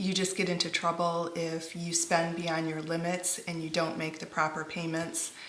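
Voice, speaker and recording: Audible room echo and noticeable background noise surround a woman with a fairly low pitch. She speaks at a moderate pace in a monotone, flat intonation. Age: 40s. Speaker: parent. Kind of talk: interview.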